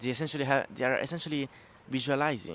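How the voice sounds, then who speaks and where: A man talks with a non-native accent. The sound is dry and close, with no echo. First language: not English. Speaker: pump foiling coach. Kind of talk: tutorial. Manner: halting, frequent fillers.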